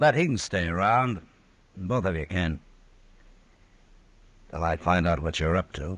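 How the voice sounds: In a put-on character voice, a man talks at a fairly slow pace, pitched low with a fairly bright tone and lively intonation.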